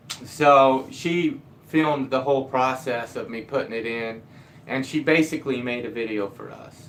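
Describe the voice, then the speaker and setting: Big swings in loudness mark this man's speech at medium pitch. His pace is moderate and his intonation fairly even. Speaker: DIY carpenter and video creator. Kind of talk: live stream chat. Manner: mumbling.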